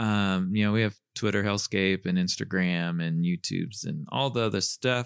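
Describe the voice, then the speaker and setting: This man has a normal speaking voice, fairly low in pitch with ordinary pitch variation and very even loudness. He talks at a moderate pace with hardly any pauses, in a dry, close sound with no echo. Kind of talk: casual chat.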